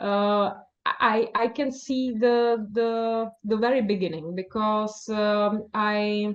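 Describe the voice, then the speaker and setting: A woman's fairly high voice in a Czech accent, very slow, with fairly even intonation. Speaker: novelist. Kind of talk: interview. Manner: halting, many fillers.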